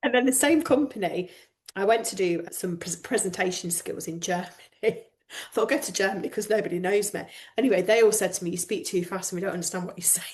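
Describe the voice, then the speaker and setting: Somewhat breathy, a woman speaks at a medium pitch. Her pace is very fast, with ordinary pitch variation. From northern England, Lancashire coast. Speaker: coach. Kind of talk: podcast interview.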